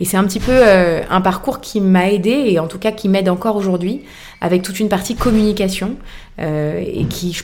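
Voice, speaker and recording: With music in the background and audible room echo, a woman speaks with ordinary pitch variation. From France, Boulogne. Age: 30s. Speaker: fashion resale entrepreneur. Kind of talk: interview.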